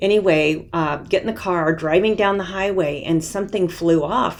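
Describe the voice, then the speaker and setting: At a moderate pace, a woman speaks in a fairly low pitch with ordinary pitch variation over noticeable background noise. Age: 60s. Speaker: knitting podcaster. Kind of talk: casual monologue.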